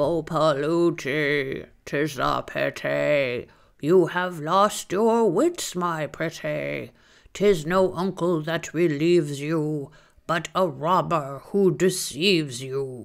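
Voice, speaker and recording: Croaky and fairly high-pitched, a man puts on a character voice at a very slow pace. The recording is very clean with a silent background. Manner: singsong warning.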